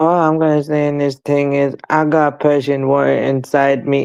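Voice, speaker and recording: The man talks with a fairly high pitch. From London. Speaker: panel guest. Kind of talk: casual chat.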